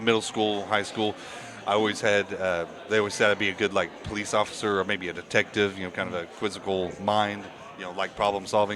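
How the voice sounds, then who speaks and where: A man with an American accent talks at a very fast pace and a fairly low pitch, in a monotone, flat intonation. There is noticeable background noise. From Indiana. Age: 30s. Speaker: bar owner. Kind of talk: casual interview chat.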